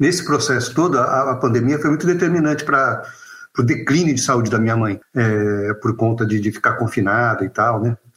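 With a normal speaking voice, a man talks at medium pitch and a moderate pace, keeping very even loudness and ordinary pitch variation. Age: 50s. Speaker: author and clown. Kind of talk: casual chat.

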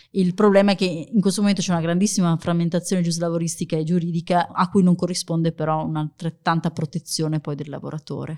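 A woman talks at a very fast pace with hardly any pauses, her tone dark and mellow and her pitch fairly low. Her intonation is monotone and flat, and the sound is dry and close, with no echo. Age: 40s. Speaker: future-of-work author and employer branding manager. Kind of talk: interview. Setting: coworking space studio.

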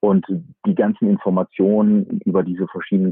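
A man speaks in a monotone with flat intonation. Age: 40s. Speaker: fund manager. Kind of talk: interview. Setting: remote call from a camper van.

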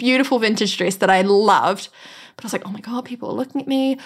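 A woman's fairly high voice in a New Zealand accent. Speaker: earthquake survivor. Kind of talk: interview.

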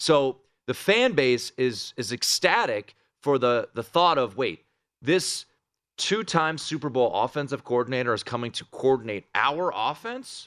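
A man with an American accent uses a normal speaking voice at a medium pitch and a fairly slow pace, with lively intonation. The recording is very clean, dry and close, with a silent background and no echo. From Washington, D.C. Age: 30s. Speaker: fill-in sports betting radio host. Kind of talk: casual sports talk. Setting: studio in a casino sportsbook.

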